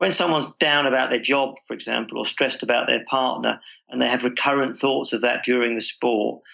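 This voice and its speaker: This man has a plain, everyday voice at medium pitch and a fairly quick pace. His intonation is fairly even, with hardly any pauses. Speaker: sports psychologist. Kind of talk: interview answer.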